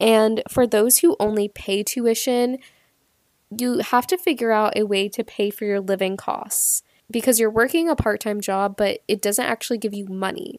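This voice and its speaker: A woman with a normal speaking voice and fairly high pitch talks at a moderate pace with ordinary pitch variation, in a very clean, dry, close recording with a silent background and no echo. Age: 20s. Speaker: podcast host and epidemiologist. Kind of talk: solo educational podcast monologue. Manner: casual, chatty.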